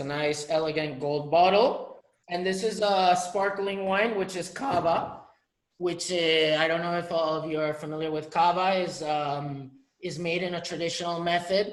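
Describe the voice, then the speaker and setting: A man with a high pitch, moderate pace and fairly even intonation amid audible room echo. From Catalonia, Spain. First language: Spanish or Catalan. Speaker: winery representative. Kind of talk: online wine tasting presentation.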